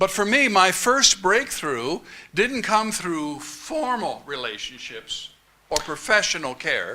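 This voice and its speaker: Through noticeable background noise, a man speaks at a very slow pace in a raised, projected voice. His pitch is high and makes very wide swings. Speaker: conference speaker. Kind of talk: speech.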